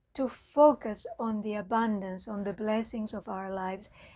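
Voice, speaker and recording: A woman is speaking. She has a Spanish accent. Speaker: mindfulness teacher. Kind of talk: talk. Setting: online live talk.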